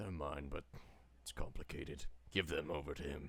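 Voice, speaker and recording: A man's put-on character voice, raspy and very deep, with fairly even intonation at a moderate pace. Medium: actual play. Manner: curt, blunt.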